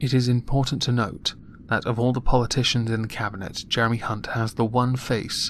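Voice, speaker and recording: At a medium pitch, a man speaks at a fairly quick pace with monotone, flat intonation. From United Kingdom. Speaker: political commentator. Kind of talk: political commentary monologue.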